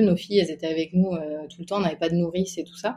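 A woman's dark, mellow, somewhat breathy voice with fairly even intonation. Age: 20s. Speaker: stay-at-home mother. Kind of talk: casual interview.

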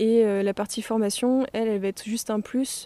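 Her voice has a dark, mellow tone, captured in a very clean recording with a silent background. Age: 20s. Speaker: permaculture activist and cycling traveller. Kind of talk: interview.

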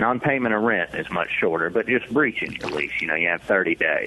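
Against noticeable background noise, a man with a Southern US accent speaks at a moderate pace. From Mississippi, Hattiesburg. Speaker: lawyer. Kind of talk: radio interview. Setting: remote connection.

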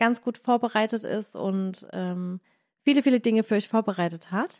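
On a very clean recording with a silent background and a dry, close sound with no echo, a woman with a Baden accent speaks at a fairly high pitch and a moderate pace with ordinary pitch variation. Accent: Baden dialect, noticeable. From Baden, southwestern Germany. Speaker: cooking video creator and podcast host. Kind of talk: casual chat; sales pitch. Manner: animated.

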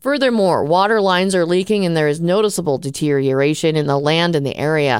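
A woman with a normal speaking voice talks at a fairly quick pace in a fairly low pitch, with ordinary pitch variation. The recording is very clean, with a silent background. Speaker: news host. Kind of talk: newsreading, brisk professional studio-style bulletin of headlines. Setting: studio. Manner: formal; steady, even-paced, neutral delivery.

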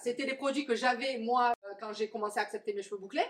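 A woman's plain, everyday voice at a fairly quick pace. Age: 40s. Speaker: curly hair coach. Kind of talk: interview. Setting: coworking space, on a sofa.

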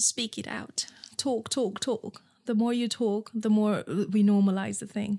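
A woman's somewhat breathy, dark and mellow voice, fairly high in pitch, with monotone, flat intonation and a fairly slow pace, in a very clean recording with a silent background. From Nepal. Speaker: entrepreneur, founder of a period underwear brand. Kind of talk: interview. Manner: halting, with repetitions.

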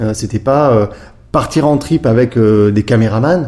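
The man's voice has a dark, mellow tone with some breathiness. His pitch is medium and varies in an ordinary way. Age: 50s. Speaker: former pro snowboarder and art gallery founder. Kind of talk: interview. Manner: hesitant, many filler sounds.

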